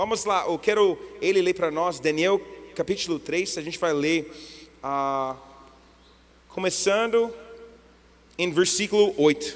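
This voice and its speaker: A man speaks at a high pitch and fairly slow pace, with ordinary pitch variation. Long pauses come frequently. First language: English (speaking Portuguese). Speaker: guest preacher. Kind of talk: sermon. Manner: halting.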